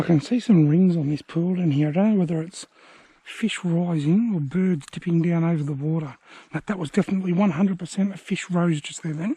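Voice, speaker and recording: Speaking fairly quickly in an Australian accent, a man has a high pitch, a dark, mellow tone, and ordinary pitch variation. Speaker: angler. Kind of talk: casual talk to camera. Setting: outdoors.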